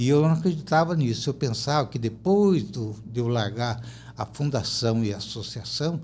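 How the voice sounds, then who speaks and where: A man speaks with a somewhat breathy voice. His intonation is lively. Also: medium pitch for a man, moderate pace. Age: 70s. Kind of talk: podcast interview, personal testimony. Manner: animated storytelling with repetitions.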